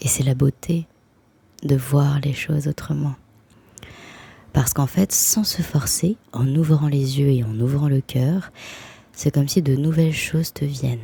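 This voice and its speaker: A woman speaks at a fairly slow pace with long, frequent pauses, her voice very deep and low in pitch and somewhat breathy. The tone is dark and mellow, with ordinary pitch variation. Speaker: spiritual vlogger. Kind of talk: casual vlog monologue.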